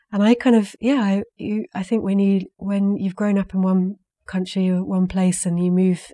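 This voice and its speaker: In a very clean recording over a silent background, a woman speaks with a southern English accent. Her medium-pitched voice has a dark, mellow tone and fairly even intonation. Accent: English (southern, educated). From England. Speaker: saga scholar, university researcher. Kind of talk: interview.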